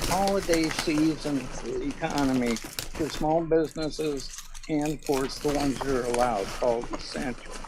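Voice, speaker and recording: A fairly high-pitched man at a fairly slow pace, with audible room echo and noticeable background noise. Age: 60s. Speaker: resident. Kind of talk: public comment.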